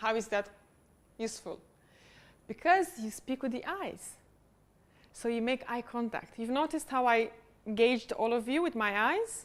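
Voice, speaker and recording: Speaking with a non-native accent at a moderate pace, the voice shows ordinary pitch variation and long, frequent pauses. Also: woman, high pitch for a woman. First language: not English. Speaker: public speaking coach. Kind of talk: workshop teaching.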